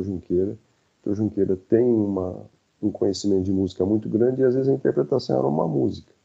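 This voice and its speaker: The voice is a man's. It rises and falls in an ordinary way. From interior of São Paulo state, Brazil (Dracena). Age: 50s. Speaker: psychiatrist and psychoanalyst. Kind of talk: casual interview conversation. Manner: halting, with many repetitions.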